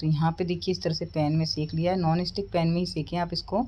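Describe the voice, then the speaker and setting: Somewhat breathy, a woman speaks with a fairly low pitch and fairly even intonation. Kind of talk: cooking tutorial. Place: kitchen.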